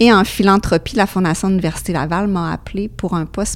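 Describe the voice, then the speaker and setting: Pitch rises and falls in an ordinary way. The tempo stays moderate. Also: woman. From Quebec, Beauce (Saint-Georges). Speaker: foundation fundraiser at a school. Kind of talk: interview.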